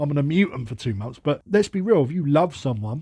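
A man with a fairly high pitch and a dark, mellow, somewhat breathy tone swings very widely in pitch on a very clean recording with a silent background. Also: dry, close sound with no echo. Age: 30s. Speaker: podcast host. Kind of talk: monologue. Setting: at workplace. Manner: casual.

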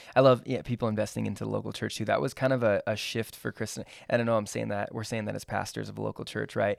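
Talking at a very fast pace, a man speaks with hardly any pauses. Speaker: pastor. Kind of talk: casual chat.

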